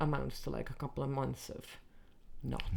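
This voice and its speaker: A voice with an American accent carries a relaxed tone amid audible room echo. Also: woman. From Netherlands. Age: 30s. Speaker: comedian. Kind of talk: casual chat. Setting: backstage after gig, music downstairs.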